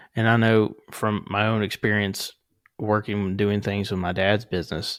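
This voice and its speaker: A man with a Southern accent, monotone, flat intonation and a moderate pace, in a very clean recording with a silent background. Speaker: podcast host. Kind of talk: podcast interview.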